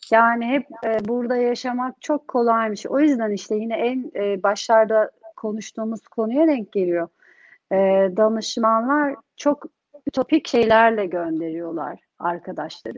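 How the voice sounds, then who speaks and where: A woman with an ordinary speaking voice talks at a fairly slow pace. Her pitch is fairly high. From Turkey (Bursa). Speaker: entrepreneur, community group founder. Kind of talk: interview. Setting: online livestream.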